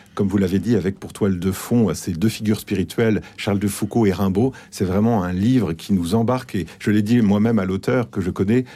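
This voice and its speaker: Over a silent background in a very clean recording, a man with a fairly low pitch and a dark, mellow tone talks at a fairly quick pace with fairly even intonation. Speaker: book editor. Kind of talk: radio discussion. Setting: radio studio.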